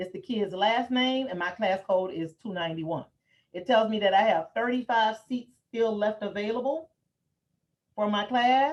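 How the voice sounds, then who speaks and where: Using an ordinary speaking voice, a woman talks at a moderate pace and fairly high pitch with ordinary pitch variation. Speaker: educational software trainer. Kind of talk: software training webinar.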